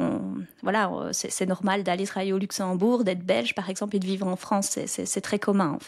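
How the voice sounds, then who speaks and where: Vocal fry at a fairly quick pace with ordinary pitch variation. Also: woman, medium pitch for a woman. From southern Belgium (near French border). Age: 30s. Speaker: podcaster and real estate investor. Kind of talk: interview conversation.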